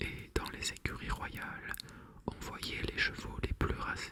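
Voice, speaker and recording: A man whispers at a very slow pace over noticeable background noise. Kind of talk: bedtime story reading. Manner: whispered.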